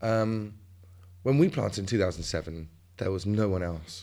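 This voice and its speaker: A man with a southern English accent. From England, West Sussex. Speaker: wine grower and farmer. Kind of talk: interview.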